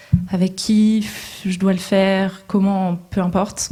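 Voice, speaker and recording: A woman's medium-pitched, somewhat breathy voice, dark and mellow in tone, with monotone, flat intonation. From northern France, coast. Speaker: social entrepreneur, panelist. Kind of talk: panel talk. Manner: hesitant, many fillers.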